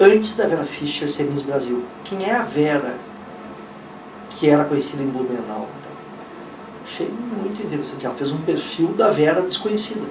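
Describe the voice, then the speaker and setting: The speech moves at a moderate pace with long, frequent pauses, amid noticeable background noise and audible room echo. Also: man, fairly high pitch for a man, lively intonation, big swings in loudness. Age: 60s. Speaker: investigative journalist. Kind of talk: interview.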